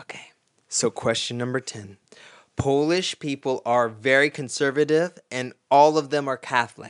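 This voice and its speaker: In a normal speaking voice, a man talks at a moderate pace and a fairly high pitch with fairly even intonation, in a dry, close sound with no echo. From Florida, US. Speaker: podcast host. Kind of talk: casual chat.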